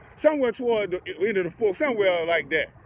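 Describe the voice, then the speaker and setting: With very wide pitch swings and an animated tone, a man talks against noticeable background noise. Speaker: sports reaction vlogger. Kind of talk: casual chat.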